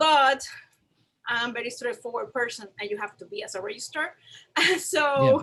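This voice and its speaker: A woman with a Puerto Rican accent talks at a moderate pace in a high pitch, with very wide pitch swings, big swings in loudness, and long, frequent pauses. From Puerto Rico. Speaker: museum registrar. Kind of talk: panel discussion.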